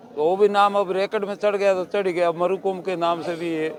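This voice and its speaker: A man's high voice at a moderate pace with fairly even intonation, over noticeable background noise. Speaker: temple caretaker. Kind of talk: interview.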